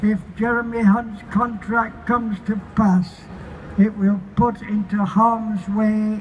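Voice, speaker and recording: A man with a Yorkshire accent speaks at a very slow pace in a high, monotone, flat voice. Noticeable background noise sits behind him. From Barnsley, Yorkshire, England. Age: 80s+. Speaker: activist. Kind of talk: protest rally speech.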